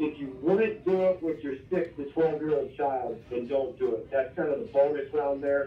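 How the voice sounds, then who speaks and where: This man talks at a moderate pace. His voice carries audible room echo. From Iowa. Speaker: college football strength coach. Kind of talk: interview. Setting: phone call. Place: office. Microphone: camera far.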